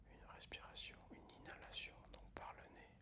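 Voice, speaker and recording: Whispering at a very slow pace, a man keeps a calm tone. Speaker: ASMR creator. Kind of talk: ASMR relaxation and guided breathing. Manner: soft-spoken, calm.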